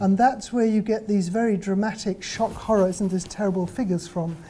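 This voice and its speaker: A woman speaks with a British accent. Her intonation is fairly even. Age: 70s. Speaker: professor. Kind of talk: lecture. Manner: hesitant fillers, conversational.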